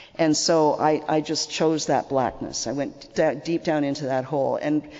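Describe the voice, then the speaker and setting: Over noticeable background noise, a woman with a Canadian accent speaks at a moderate pace in a very deep, low pitch with fairly even intonation. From Canada. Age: 60s. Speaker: recovering alcoholic speaker. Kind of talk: testimony. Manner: conversational, repetitive fillers.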